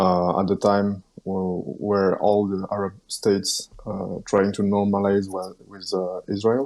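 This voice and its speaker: Speaking with a non-native accent, a man talks at a fairly slow pace in a fairly low pitch. His intonation is monotone and flat. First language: French. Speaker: Twitter news commentator. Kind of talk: podcast interview. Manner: halting, many fillers.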